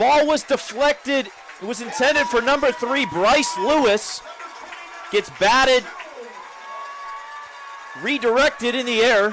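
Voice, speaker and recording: Crowd noise fills the background as a man speaks at an extremely high pitch with ordinary pitch variation. He goes at a fairly slow pace, with long, frequent pauses. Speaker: sports broadcaster, play-by-play announcer. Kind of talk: live play-by-play call.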